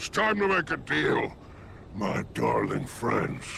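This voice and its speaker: Over clear background noise, a man in a put-on character voice speaks at a fairly slow pace. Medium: video game. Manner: silky, flattering, condescending.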